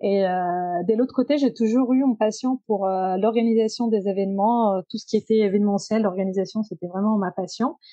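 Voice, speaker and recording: With a dark, mellow tone and medium pitch, a woman speaks at a moderate pace with ordinary pitch variation, the sound dry and close with no echo. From Italy, Genoa. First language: Italian (speaking French). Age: 30s. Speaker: circular economy professional. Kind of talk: podcast interview. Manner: hesitant, many fillers.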